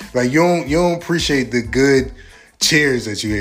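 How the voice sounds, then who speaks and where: An animated tone with ordinary pitch variation comes through amid audible room echo. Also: man. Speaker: podcast host. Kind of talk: casual chat.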